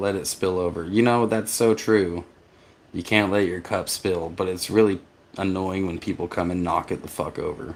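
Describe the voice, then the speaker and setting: In an American accent, the speaker keeps fairly even intonation at a moderate pace. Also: man. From US South. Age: 40s. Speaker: vanlife vlogger. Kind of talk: livestream chat reading viewer comments. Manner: halting, with fillers.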